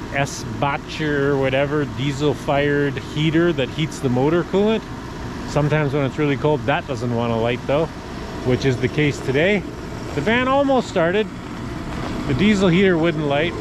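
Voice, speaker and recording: A man speaks at a moderate pace with ordinary pitch variation and long, frequent pauses. The sound is dry with no echo, over noticeable background noise. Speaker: off-grid vlogger. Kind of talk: casual vlog chat. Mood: calm, matter-of-fact. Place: street. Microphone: phone near.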